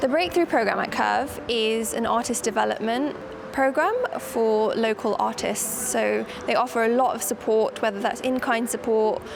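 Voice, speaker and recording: Noticeable background noise runs beneath this recording. A woman with an English accent speaks at a very even loudness. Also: moderate pace. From UK. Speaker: poet. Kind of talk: interview.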